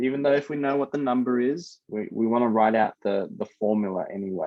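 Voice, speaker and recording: Here a man of medium pitch moves at a fairly quick pace with ordinary pitch variation. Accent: Australian. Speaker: high school maths teacher. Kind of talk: online class lesson. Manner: casual.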